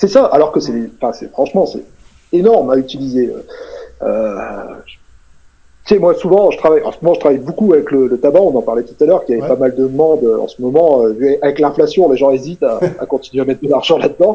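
A man speaks at a fairly high pitch. His intonation is lively and his pace fairly quick. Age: 40s. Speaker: hypnotherapist and author. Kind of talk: casual interview. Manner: hesitant, many fillers and repetitions.

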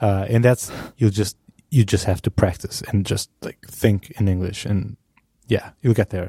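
A man with a non-native accent has a dark, mellow, somewhat breathy tone. He speaks fairly slowly with fairly even intonation. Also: fairly low pitch for a man. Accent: foreign-accented English. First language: not English. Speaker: podcast host, designer. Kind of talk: casual chat.

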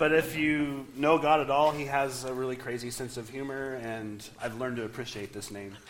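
Noticeable background noise sits behind a man speaking at a moderate pace and medium pitch. His intonation is fairly even, though his loudness swings a lot. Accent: American. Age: 40s. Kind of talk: sermon.

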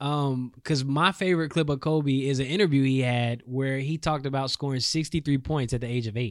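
An unremarkable speaking voice from a man with an American accent, fairly high in pitch, with ordinary variation and a fairly quick pace. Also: very clean recording, silent background. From North Carolina. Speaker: sports podcast co-host. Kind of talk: casual sports chat. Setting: studio.

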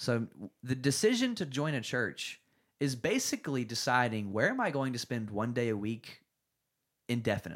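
On a very clean recording with a silent background, a man with an American accent and a normal speaking voice talks at a moderate pace in a medium pitch with ordinary pitch variation. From North Carolina. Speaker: worship leader. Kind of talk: casual chat. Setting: home studio.

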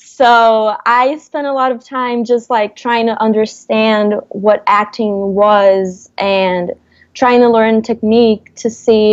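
Speaking at a very slow pace, a woman with a Portuguese accent keeps a fairly high pitch and fairly even intonation. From Brazil, Rio de Janeiro. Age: 20s. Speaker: actress. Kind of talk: casual interview.

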